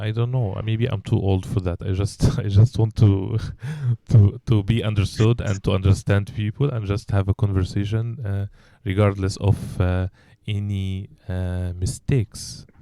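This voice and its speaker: A man with a slight Egyptian accent speaks at a moderate pace with fairly even intonation. His fairly low voice has a dark, mellow tone. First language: Arabic. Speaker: English teacher and podcast host. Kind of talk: casual chat. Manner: hesitant, many fillers and repetitions.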